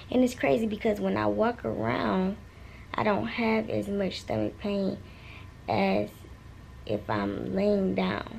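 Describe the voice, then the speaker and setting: Soft-spoken and tired, a woman talks at a very slow pace with long, frequent pauses over light background noise. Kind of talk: casual vlog chat. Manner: soft, tired voice from hospital bed. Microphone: phone near.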